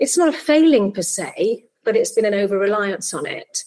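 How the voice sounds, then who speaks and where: A woman speaks with a Welsh accent at a medium pitch. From South Wales (Barry). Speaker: tech startup founder and CEO. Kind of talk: podcast interview.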